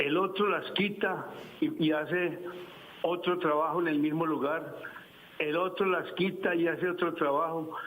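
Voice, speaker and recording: A man's high-pitched, monotone, flat delivery at a fairly slow pace and very even loudness, with noticeable background noise and audible room echo. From Colombia, Medellín. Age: 70s. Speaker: caller. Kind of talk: call-in question.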